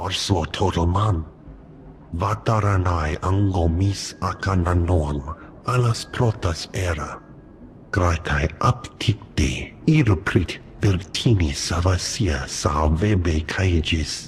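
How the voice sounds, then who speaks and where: In a put-on character voice, a man speaks very deep and low at a very slow pace. Clear background noise runs underneath. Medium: video game.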